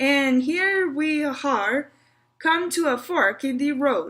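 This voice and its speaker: A woman uses a put-on character voice that is gruff and high-pitched, with lively intonation. She speaks at a very slow pace and very even loudness. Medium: read story. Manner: gruff, grim.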